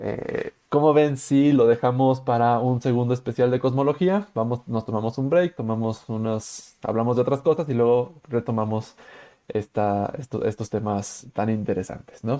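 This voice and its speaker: A man speaks with a Mexican accent in a dark, mellow tone. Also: medium pitch for a man, ordinary pitch variation. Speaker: podcast host. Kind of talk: casual chat. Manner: fast.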